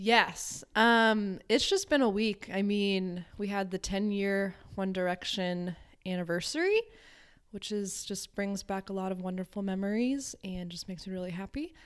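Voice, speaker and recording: A woman with an American accent has a plain, everyday voice at medium pitch. She speaks at a moderate pace with fairly even intonation in a very clean recording with a silent background. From Connecticut, New England. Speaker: social worker. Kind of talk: casual chat.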